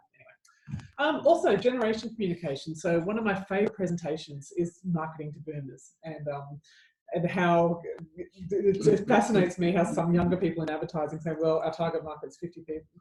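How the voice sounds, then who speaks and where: With an Australian accent, a woman talks at a fairly quick pace in a fairly low pitch with ordinary pitch variation. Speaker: advertising commentator and speaker. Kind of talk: casual chat.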